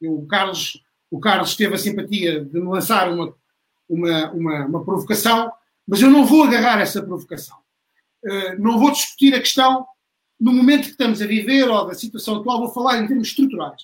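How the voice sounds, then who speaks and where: The pace is moderate. Intonation is lively. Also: man, high pitch for a man. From Portugal, Beja (Alentejo). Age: 40s. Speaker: member of parliament. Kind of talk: online panel debate. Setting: online livestream.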